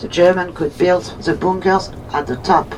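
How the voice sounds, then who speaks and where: A woman's medium-pitched voice over noticeable background noise. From France, Normandy. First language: French. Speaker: tour guide. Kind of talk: guided tour commentary.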